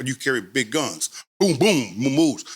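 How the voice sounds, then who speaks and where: The voice has an American accent. Its pitch varies in an ordinary way. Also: man. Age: 60s. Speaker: former gang member. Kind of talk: casual chat. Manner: halting.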